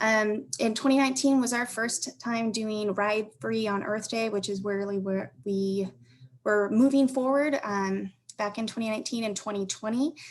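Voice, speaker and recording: This woman has an unremarkable speaking voice, fairly high in pitch. She talks at a moderate pace with ordinary pitch variation. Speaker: transit agency corporate partnerships manager. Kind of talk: conference panel presentation.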